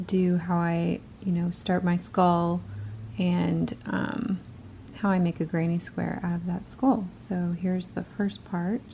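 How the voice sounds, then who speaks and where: With noticeable background noise behind her, a woman speaks at a very slow pace, her fairly low pitch held in fairly even intonation. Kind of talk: casual talk to camera, crochet tutorial. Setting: home recording with poor audio and a clicking noise. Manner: rambling, conversational.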